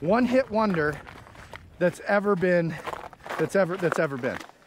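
Through noticeable background noise, a man speaks at a fairly slow pace with lively intonation and a dry sound with no echo. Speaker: podcast-style vlogger. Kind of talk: casual conversation while running. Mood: playful, chatty. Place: open country.

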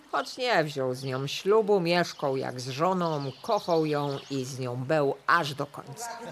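Over noticeable background noise, a woman with a very deep, low voice talks very slowly with hardly any pauses, lively intonation and big swings in loudness. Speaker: voice-over reader. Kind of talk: folk-dialect storytelling podcast narration.

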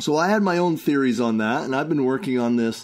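Over a quiet background, a man uses an ordinary speaking voice at medium pitch with ordinary pitch variation. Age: 60s. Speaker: herbal product maker and health talk host. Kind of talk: casual monologue.

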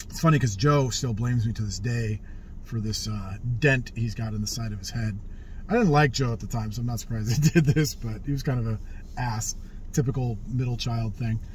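Somewhat breathy, a man speaks at a fairly quick pace over light background noise. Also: ordinary pitch variation, dry sound with no echo. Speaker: vlogger telling life stories. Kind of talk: casual vlog chat. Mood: relaxed, wry humor. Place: car. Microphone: phone near.

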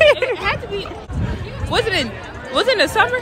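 Against clear background noise and clear crowd noise, a woman speaks at an extremely high pitch. Her intonation is lively. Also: moderate pace.

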